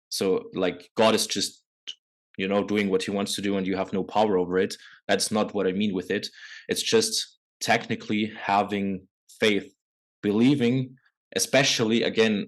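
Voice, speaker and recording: A man with a fairly low pitch speaks at a moderate pace in monotone, flat intonation, with long, frequent pauses. The background is quiet. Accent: non-native. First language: not English. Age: 20s. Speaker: men's coach. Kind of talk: podcast interview.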